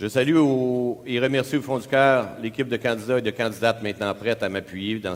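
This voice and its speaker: A man's normal speaking voice at medium pitch, at a fairly quick pace. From Quebec, Laval. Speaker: mayoral candidate. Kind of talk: prepared opening statement in a debate. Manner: formal.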